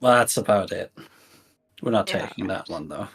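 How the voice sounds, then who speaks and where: Using a put-on character voice, a man speaks at a moderate pace and medium pitch, sounding raspy. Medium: actual play. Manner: casual, rambling, awkward.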